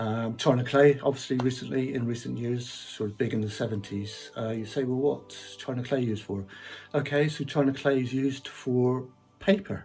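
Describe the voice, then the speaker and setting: A man talks in a Cornish accent. There is noticeable background noise. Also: medium pitch for a man, ordinary pitch variation, moderate pace. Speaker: piano player. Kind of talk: casual talk. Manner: hesitant, many fillers.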